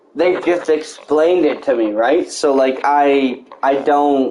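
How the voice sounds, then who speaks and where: A man talks at a very slow pace, with noticeable background noise around him. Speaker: gaming livestreamer. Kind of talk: casual chat. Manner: halting.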